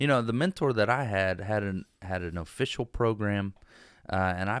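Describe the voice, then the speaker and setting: A man uses a normal speaking voice at fairly low pitch, with ordinary pitch variation and a moderate pace. The recording is very clean with a silent background, dry and close with no echo. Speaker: real estate investor. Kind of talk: casual chat.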